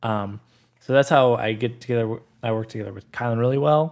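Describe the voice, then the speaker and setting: In a very clean recording with a silent background, a man in an ordinary speaking voice talks at medium pitch and a fairly quick pace with fairly even intonation. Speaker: podcast editor and producer. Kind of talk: casual chat.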